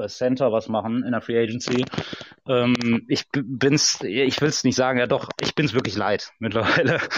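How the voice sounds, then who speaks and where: Using an ordinary speaking voice, a man talks at a moderate pace in a medium pitch with ordinary pitch variation. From Ruhr area, Germany. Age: 30s. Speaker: football fan guest. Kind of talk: casual chat.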